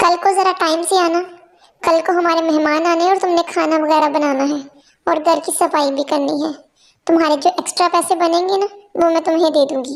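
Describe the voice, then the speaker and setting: A woman does a cartoonish character voice at an extremely high pitch. Her intonation is monotone and flat, and her pace is fairly quick. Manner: curt, condescending.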